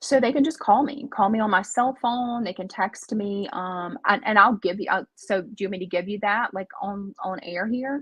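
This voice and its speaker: A woman with a Southern US accent speaks at a moderate pace, her pitch medium and its variation ordinary. Her loudness swings widely, and she hardly pauses at all. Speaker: healthcare outreach worker. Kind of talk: interview.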